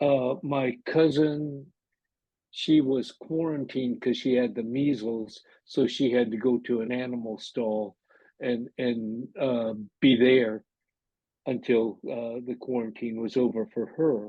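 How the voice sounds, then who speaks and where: A very slow, medium-pitched male voice with an American accent and fairly even intonation. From Seattle, US Pacific Northwest. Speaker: internment camp survivor. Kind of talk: interview testimony. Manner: hesitant, with frequent fillers.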